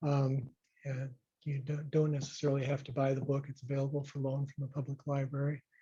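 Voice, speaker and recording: This man has an American accent and a fairly high pitch, with a dark, mellow, somewhat breathy tone, speaking at a fairly quick pace in a monotone, flat delivery. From Rochester, Minnesota. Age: 60s. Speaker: retired physician and local historian. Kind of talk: public talk. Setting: talk with live audience. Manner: hesitant, many fillers.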